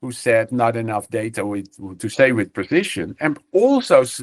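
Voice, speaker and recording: Nothing much stirs in the background. The delivery is neither fast nor slow. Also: man. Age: 60s. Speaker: professor. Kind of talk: webinar lecture. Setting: video webinar from an office. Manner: halting, many fillers.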